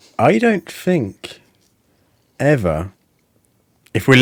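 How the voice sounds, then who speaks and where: Dry, close sound with no echo frames this voice. It carries a British accent. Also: man. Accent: British, says f for th. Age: middle-aged. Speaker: podcast host, former cult member. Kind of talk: casual chat.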